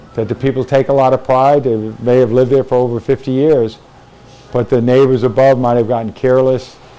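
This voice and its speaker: Amid noticeable background noise, a man speaks at a medium pitch and a fairly quick pace in a monotone, flat intonation. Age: 60s. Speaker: firefighter captain. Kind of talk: interview. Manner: halting, many fillers.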